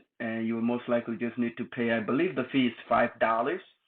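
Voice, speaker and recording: Here a man with a non-native accent speaks at a medium pitch. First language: not English. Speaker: tutorial youtuber. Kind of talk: tutorial. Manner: casual.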